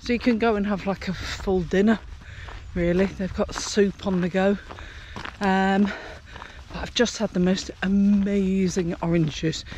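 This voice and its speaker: Long, frequent pauses break up a woman's fairly slow, monotone, flat delivery at a medium pitch, heard over noticeable background noise. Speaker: travel vlogger. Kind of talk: walking vlog. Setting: outdoors walking. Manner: casual, halting.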